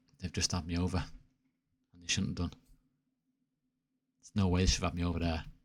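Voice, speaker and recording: In a Mancunian accent, a man talks with a very deep, low pitch. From Manchester, northern England. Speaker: video game streamer. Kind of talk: live gameplay commentary. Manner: animated.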